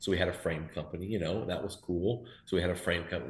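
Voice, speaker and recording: A man with a very deep, low, somewhat breathy voice speaks at a fairly quick pace amid audible room echo. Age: 50s. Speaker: BMX team manager and founder. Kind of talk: casual interview. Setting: video call.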